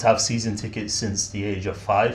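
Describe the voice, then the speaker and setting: A man with a Mancunian accent speaks at a fairly low pitch, somewhat breathy, with audible room echo. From Manchester, England. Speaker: football fan guest. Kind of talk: casual chat.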